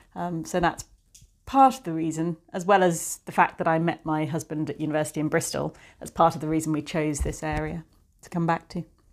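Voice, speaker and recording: A woman's very deep, low voice in a southern English accent, fairly quick in pace, with big swings in loudness. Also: ordinary pitch variation. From England, Cotswolds. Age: 40s. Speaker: art dealer. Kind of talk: casual interview chat. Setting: at her home.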